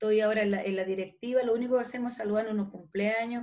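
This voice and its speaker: A woman speaks with a fairly high pitch. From northern Chile (Calama). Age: 60s. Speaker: retired police detective. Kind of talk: interview. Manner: halting, with frequent repetitions.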